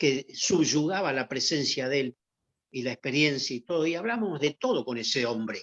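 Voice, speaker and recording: A man speaks at a fairly high pitch in a Rioplatense accent. The background is quiet, and the sound is dry and close with no echo. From Argentina. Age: 70s. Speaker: former athlete. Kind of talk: interview testimony. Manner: halting with repetitions.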